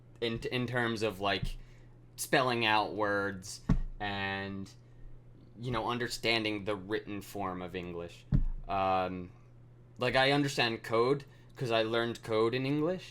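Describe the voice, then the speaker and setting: A man with a slight Mid-Atlantic accent, fairly low pitch and ordinary pitch variation, bright, sharp tone, very slow pace and long, frequent pauses. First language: not English. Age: 20s. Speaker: programming streamer. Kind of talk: live coding stream. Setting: live stream. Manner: halting, many fillers.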